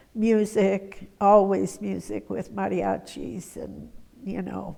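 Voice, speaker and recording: An American accent at a very slow pace. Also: woman. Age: 80s+. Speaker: retired schoolteacher, interviewee. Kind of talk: oral history interview. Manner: hesitant, many fillers.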